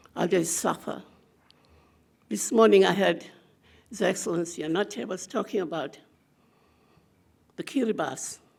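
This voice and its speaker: The intonation is lively and marked by vocal fry. The pace is moderate, broken by long, frequent pauses. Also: woman, fairly low pitch for a woman. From Torres Strait Islands, Australia. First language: Torres Strait Island language. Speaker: community elder and advocate. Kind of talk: conference speech.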